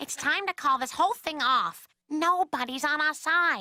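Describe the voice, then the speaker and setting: A cartoonish character voice from a woman, high-pitched, with a warm tone, a moderate pace and a dry, close sound with no echo. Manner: reasonable, warm.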